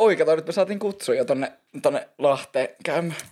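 A man speaks with a northern Finnish accent. His pace is fairly slow. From northern Finland, Oulu region. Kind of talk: casual chat. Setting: Instagram live stream on camera.

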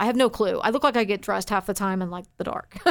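In a very clean recording with a silent background, a woman with a Texan accent talks at a medium pitch with ordinary pitch variation. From Texas, Forney near Dallas. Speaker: radio news and traffic reporter. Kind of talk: casual interview chat.

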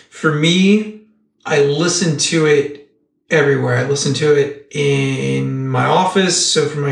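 There is audible room echo as a man talks at a fairly slow pace, his voice somewhat breathy and fairly high in pitch. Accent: American. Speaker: podcast co-host. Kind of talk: casual chat.

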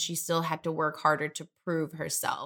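A woman with an American accent speaks at a moderate pace in a bright, sharp tone. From Detroit, Michigan. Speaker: tech and marketing professional. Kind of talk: interview.

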